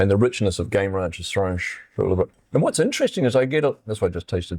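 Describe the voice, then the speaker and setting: A man talks at a very fast pace with a fairly low pitch. His intonation is lively. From New Zealand. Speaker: winemaker. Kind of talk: casual chat.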